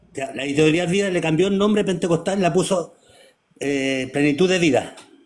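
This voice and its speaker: Talking fairly quickly, a man uses a high pitch that varies in an ordinary way. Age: 60s. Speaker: preacher. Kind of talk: casual chat.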